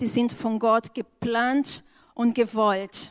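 A woman with a Portuguese accent speaks very slowly at a fairly high pitch against a quiet background. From Brazil. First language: Portuguese (speaking German). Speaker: church member, educator. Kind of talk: church testimony. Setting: church stage.

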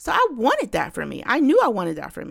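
In a very clean recording with a silent background, a woman talks at a fairly quick pace in an animated tone. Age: 40s. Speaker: podcast host. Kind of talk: casual monologue.

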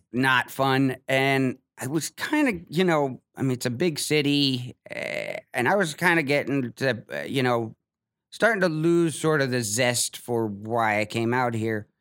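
A man at medium pitch with an American accent, fairly slow and with ordinary pitch variation, in a dry, close sound with no echo. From Ohio. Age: young. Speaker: comedian. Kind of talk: casual chat. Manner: halting, many repetitions and fillers.

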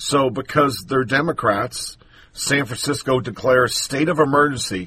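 A man speaks at a fairly slow pace in a bright, sharp tone at a medium pitch. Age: 50s. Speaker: political podcast host. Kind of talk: solo political commentary. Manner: softer than usual.

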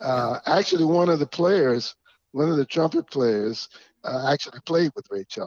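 A man has a normal speaking voice, fairly high in pitch, with lively intonation. He keeps a moderate pace, and the sound is dry and close with no echo. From US South, Georgia. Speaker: musician and stage performer. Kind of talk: casual interview.

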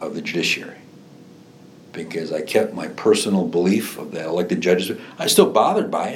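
Through noticeable background noise, a man talks in a Chicago accent. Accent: Chicago-area Midwestern. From northwest Indiana, Lake County (Chicago area). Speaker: former state legislator and judge. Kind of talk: oral history interview. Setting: in-person interview. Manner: halting, many fillers and repetitions.

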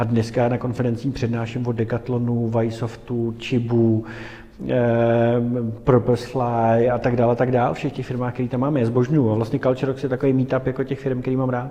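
The voice moves at a fairly quick pace with hardly any pauses, its dark, mellow tone held in a monotone, flat intonation. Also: man, medium pitch for a man. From Prague, Czech Republic. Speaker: entrepreneur. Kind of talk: interview.

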